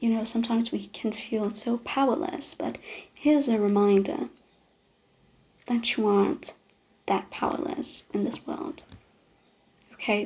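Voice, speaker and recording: A woman with a fairly high voice and vocal fry speaks in a gentle, soothing tone at a fairly slow pace, with long, frequent pauses. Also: lively intonation. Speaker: tarot reader. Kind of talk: pick-a-card tarot reading to camera.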